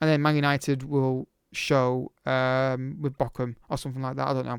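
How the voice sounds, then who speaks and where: A man's medium-pitched, monotone, flat delivery, dry and close with no echo. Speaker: football video game streamer. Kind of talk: casual chat to camera. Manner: fast.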